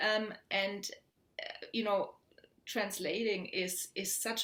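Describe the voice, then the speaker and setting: The voice has a German accent and ordinary pitch variation. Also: woman. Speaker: poet and academic. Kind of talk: panel Q&A answer. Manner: halting, many repeated words.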